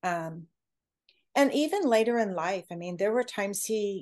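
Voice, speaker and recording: Against a quiet background, a woman with an unremarkable speaking voice talks at a moderate pace and a medium pitch. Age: 60s. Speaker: author and speaker. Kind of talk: casual interview chat.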